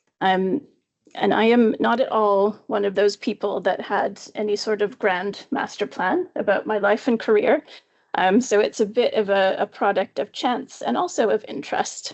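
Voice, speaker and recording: A woman with a Canadian accent speaks in an unremarkable speaking voice at a moderate pace, her fairly high pitch moving with ordinary variation and her loudness very even. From Canada, far west coast. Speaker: professor, epidemiologist. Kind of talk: academic seminar talk. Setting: seminar room with audience. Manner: casual with frequent fillers.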